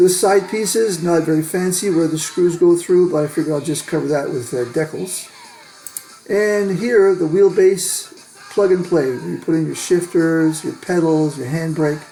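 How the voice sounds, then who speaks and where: A man's high voice with ordinary pitch variation and music in the background. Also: moderate pace. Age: 60s. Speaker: hobbyist video creator. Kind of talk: tutorial. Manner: casual, hesitant with fillers.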